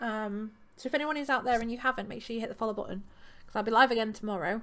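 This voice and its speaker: A woman speaks with an East Midlands accent. Her pace is very fast. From East Midlands, England. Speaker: streamer and crafter. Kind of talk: casual chat. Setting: live stream.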